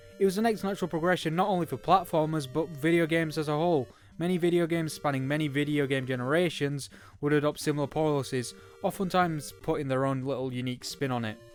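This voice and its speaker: Very fast speech with ordinary pitch variation and music in the background. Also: man, fairly high pitch for a man. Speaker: video game reviewer. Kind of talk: video game review narration.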